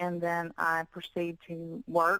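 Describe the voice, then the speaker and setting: Her strong Southern US accent comes through in a bright, sharp tone at a fairly low pitch for a woman. Intonation is monotone and flat, the sound dry and close with no echo. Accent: heavy Southern US. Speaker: fitness model and bikini competitor. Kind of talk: interview.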